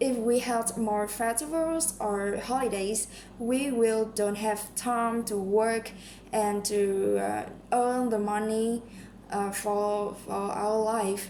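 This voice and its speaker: With audible room echo around her, a woman speaks very slowly in a fairly high pitch. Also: fairly even intonation. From Vietnam. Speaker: English learner practising speaking test. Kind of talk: mock speaking exam answers. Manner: halting, many fillers.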